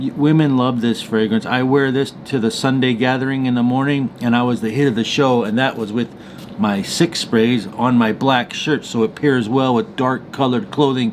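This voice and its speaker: A man talks with normal pitch movement while clear background noise runs behind him. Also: medium pitch for a man. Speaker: fragrance reviewer. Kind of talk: product review. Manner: fast; animated.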